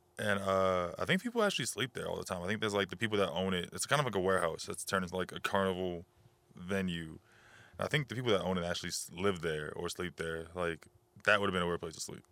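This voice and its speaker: Very fast and fairly even in intonation, a man speaks with a very deep, low pitch and a bright, sharp tone on a very clean recording with a silent background. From New Orleans, Louisiana. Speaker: rapper. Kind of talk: casual chat.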